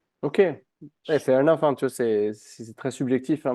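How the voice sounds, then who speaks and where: Delivered at a fairly quick pace, the voice has a dark, mellow tone, recorded dry and close with no echo against a quiet background. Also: man. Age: 20s. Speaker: personal trainer and entrepreneur. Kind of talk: interview, personal story. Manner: casual, hesitant with fillers.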